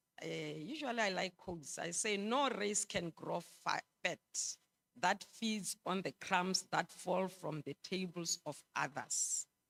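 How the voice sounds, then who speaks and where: A woman with an ordinary speaking voice, medium in pitch, speaks at a fairly slow pace with lively intonation. The sound is dry and close, with no echo. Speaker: conference presenter. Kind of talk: conference presentation.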